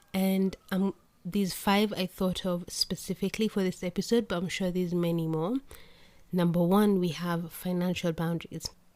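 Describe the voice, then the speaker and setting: The woman's intonation is flat and monotone. Her voice sits at a medium pitch. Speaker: podcast host. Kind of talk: solo podcast monologue. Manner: fast.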